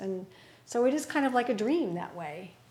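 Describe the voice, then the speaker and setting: A woman speaks fairly slowly in a fairly high voice with lively intonation. Audible room echo surrounds her. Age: 60s. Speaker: Buddhist meditation teacher. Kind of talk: dharma talk with group discussion. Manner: halting, many fillers.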